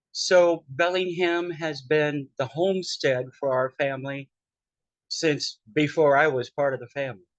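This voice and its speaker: In a dry, close sound with no echo, a man with a fairly high pitch talks at a fairly slow pace with fairly even intonation. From US Pacific Northwest, western Washington. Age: 60s. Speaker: podcast host, drag performer. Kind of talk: casual personal storytelling.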